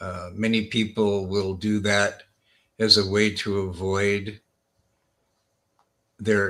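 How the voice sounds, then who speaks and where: On a very clean recording with a silent background, a man with an American accent speaks very slowly in a fairly low pitch, with monotone, flat intonation and a bright, sharp tone. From US West Coast, Los Angeles. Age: 60s. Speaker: healer and wellness doctor. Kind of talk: podcast interview.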